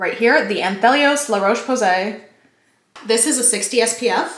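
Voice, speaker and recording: A woman talks at a fairly slow pace with fairly high pitch. Room echo is audible. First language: not English (English is third language). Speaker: lifestyle vlogger. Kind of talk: casual chat. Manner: animated.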